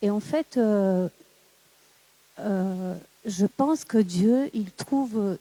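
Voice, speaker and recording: A woman's very slow, fairly high voice with a dark, mellow tone and a non-native accent, in dry, close sound with no echo. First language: not French (speaking French). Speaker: audience member. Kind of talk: audience question. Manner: halting, searching for words.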